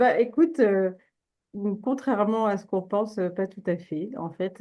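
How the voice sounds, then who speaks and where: A woman with a dark, mellow tone speaks at a fairly slow pace and medium pitch against a quiet background. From France, childhood in China. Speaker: entrepreneur, China specialist. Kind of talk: interview conversation. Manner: halting, many fillers.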